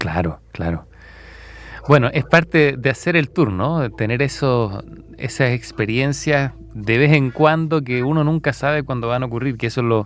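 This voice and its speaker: A man talks in a normal speaking voice at a moderate pace, with medium pitch and ordinary pitch variation. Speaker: radio host. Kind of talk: radio interview question.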